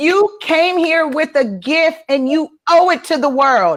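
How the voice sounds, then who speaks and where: Shouting at a fairly slow pace, a woman's voice swings very widely in pitch. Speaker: spiritual business coach. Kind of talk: live stream chat. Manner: loud, yelling.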